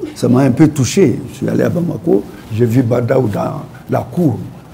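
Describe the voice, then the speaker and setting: A man speaks here. There is noticeable background noise. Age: 80s+. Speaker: poet. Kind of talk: talk show interview. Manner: animated storytelling.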